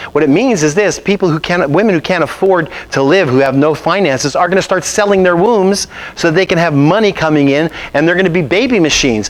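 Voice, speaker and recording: A very fast, animated delivery with ordinary pitch variation and very even loudness, over noticeable background noise. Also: man, high pitch for a man. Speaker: pastor. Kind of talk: sermon.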